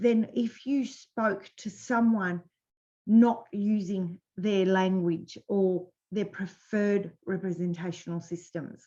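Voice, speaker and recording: A somewhat breathy woman at a very slow pace, with ordinary pitch variation. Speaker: business coach. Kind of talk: webinar presentation. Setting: live webinar.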